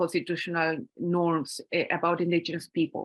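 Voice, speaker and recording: A woman speaks with a Spanish accent. The recording is very clean and dry, close-miked with no echo against a silent background. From Chile. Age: 50s. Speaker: academic speaker. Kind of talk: conference talk. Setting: conference panel with audience. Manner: halting.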